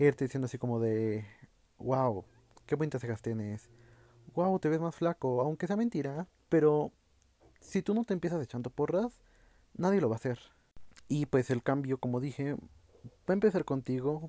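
A fairly high-pitched man's voice with a dark, mellow tone and lively intonation, at a moderate pace with long, frequent pauses, in a dry, close sound with no echo. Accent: Mexican. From Mexico. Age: 20s. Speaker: podcast host. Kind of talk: solo monologue podcast. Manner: casual, conversational.

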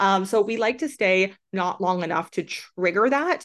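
With a Canadian accent and an animated tone, a woman speaks at a moderate pace and medium pitch, her pitch varying in an ordinary way over a quiet background. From Canada, small town. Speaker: relocation coach, entrepreneur. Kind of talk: interview conversation.

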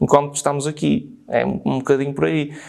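The speaker is a man with a fairly high pitch. He talks very fast. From northern Portugal. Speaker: screenwriter and film director. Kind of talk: casual chat.

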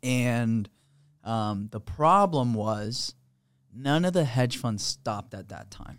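Speaking at a very slow pace, a man uses lively intonation and big swings in loudness. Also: medium pitch for a man, very clean recording, silent background. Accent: Florida. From Florida (Sarasota area), born in Peru. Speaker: real estate investor, company president. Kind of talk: casual interview. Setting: studio.

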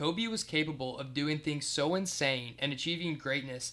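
Speaking at a moderate pace with an American accent, a man has a fairly high pitch and a bright, sharp tone. His pitch variation is ordinary. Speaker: sports podcast co-host. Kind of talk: casual chat. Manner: halting, stuttering.

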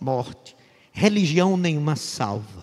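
A man speaks at a fairly slow pace, his pitch fairly high. It is a plain, everyday voice. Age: 60s. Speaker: pastor. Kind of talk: sermon.

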